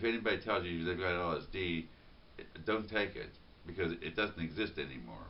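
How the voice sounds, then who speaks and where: The voice has an American accent and vocal fry. It moves at a fairly quick pace with ordinary pitch variation. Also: man, very deep, low pitch for a man. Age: 50s. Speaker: vlogger. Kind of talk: spontaneous monologue. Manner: halting, many repetitions and fillers.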